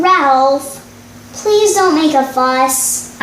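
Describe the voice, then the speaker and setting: A woman does a put-on character voice in a high pitch, with slight echo and clear background noise. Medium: read story. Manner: patient, reasoning.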